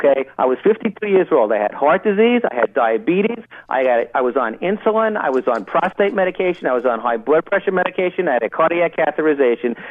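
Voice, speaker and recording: Over noticeable background noise, a fairly high-pitched man talks at a very fast pace with hardly any pauses, his pitch swinging very widely while his loudness stays very even. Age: 60s. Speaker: doctor and diet book author. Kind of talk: radio interview. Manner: animated.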